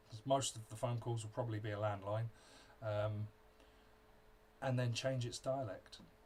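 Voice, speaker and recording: A man speaks at a moderate pace with a medium pitch. His intonation is monotone and flat, broken by long, frequent pauses. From southern England. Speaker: developer. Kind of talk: casual chat.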